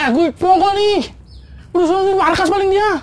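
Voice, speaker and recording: A squeaky put-on character voice, extremely high in pitch, at a moderate pace. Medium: short film. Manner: casual, rambling slang.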